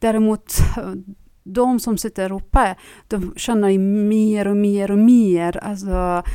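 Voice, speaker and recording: A woman with a dark, mellow tone and medium pitch speaks very slowly, keeping her intonation fairly even. The very clean recording has a silent background. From Iran. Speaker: Iranian feminist activist. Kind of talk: interview. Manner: halting, many fillers.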